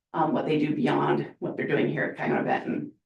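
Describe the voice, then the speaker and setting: Vocal fry runs through this woman's voice. She talks at a fairly quick pace. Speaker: school career and technical education administrator. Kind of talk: presentation to school board. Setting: school board meeting. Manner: fast.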